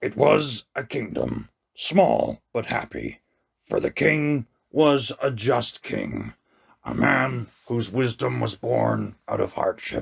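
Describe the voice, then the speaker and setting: A man's raspy, put-on character voice at a very slow pace. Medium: read story. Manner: solemn, measured, commanding.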